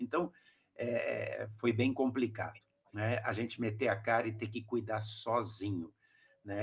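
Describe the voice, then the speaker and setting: Fairly even intonation goes with a somewhat breathy sound. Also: man. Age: 60s. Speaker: pastor. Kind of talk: podcast discussion. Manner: halting.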